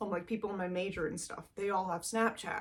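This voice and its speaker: A woman talks at a very fast pace. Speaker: vlogger. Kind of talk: casual vlog monologue. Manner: loud; fast, chatty with many fillers.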